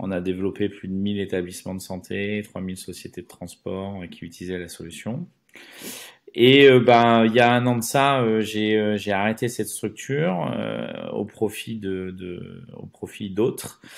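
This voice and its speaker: At a fairly slow pace, a man with fairly low pitch and ordinary pitch variation speaks with big swings in loudness in a very clean recording with a silent background. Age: 40s. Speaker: entrepreneur, former pastry chef. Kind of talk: podcast interview. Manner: hesitant, many filler words.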